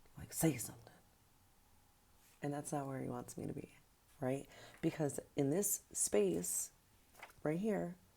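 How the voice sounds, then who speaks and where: A soft-spoken woman with a very deep, low pitch and a dark, mellow tone talks at a fairly slow pace with long, frequent pauses. Her pitch swings very widely, and her loudness shifts in big swings. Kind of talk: testimony. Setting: early morning.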